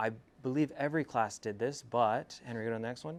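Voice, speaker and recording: A man talks with an American accent in an unremarkable speaking voice, medium in pitch with ordinary pitch variation. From California, US (Selma, Central Valley). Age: 20s. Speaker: entrepreneur giving a talk. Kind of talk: motivational school presentation.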